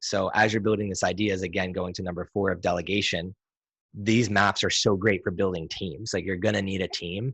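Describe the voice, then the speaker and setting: Man with a fairly low pitch at a fairly quick pace, quiet background. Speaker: entrepreneur and business consultant hosting a weekly session. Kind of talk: casual online group discussion. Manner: fast; animated.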